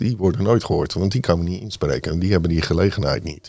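Noticeable noise sits in the background. Over it, a man speaks with a very deep, low pitch. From Netherlands, Rotterdam. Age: 50s. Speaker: city councillor, navy veteran. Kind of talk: political discussion.

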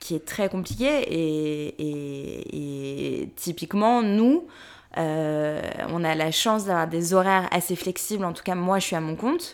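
A woman with a fairly low pitch speaks at a very slow pace in a very clean recording with a silent background. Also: ordinary pitch variation. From Paris, France. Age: 30s. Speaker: podcast co-host and press officer. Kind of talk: casual chat.

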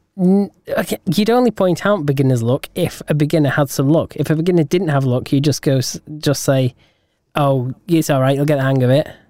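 A man with a British accent speaks at a fairly quick clip in a fairly high voice with a dark, mellow tone, ordinary pitch variation, very even loudness, and a dry, close sound with no echo. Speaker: podcast co-host. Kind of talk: casual chat.

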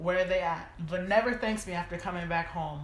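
Ordinary pitch variation at a moderate pace, with noticeable background noise. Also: woman. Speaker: podcast co-host. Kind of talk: casual chat.

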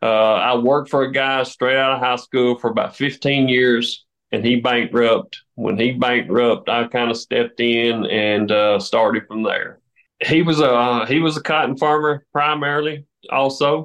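A man with a Southern US accent speaks at a medium pitch. His intonation is fairly even and his loudness very even. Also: moderate pace. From US South, southern Tennessee. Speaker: farmer. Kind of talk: interview. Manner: casual, hesitant fillers.

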